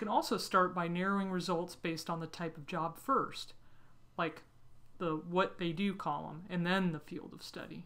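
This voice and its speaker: In an unremarkable speaking voice, a woman talks at a moderate pace and fairly low pitch, with fairly even intonation and big swings in loudness. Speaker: career guidance company executive. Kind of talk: tutorial.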